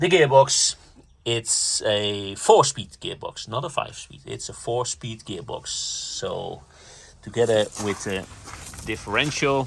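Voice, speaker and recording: Delivered at a very slow pace with big swings in loudness, the speech sits over noticeable background noise. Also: man. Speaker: car enthusiast vlogger. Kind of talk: walkaround car tutorial. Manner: halting, many fillers; enthusiastic.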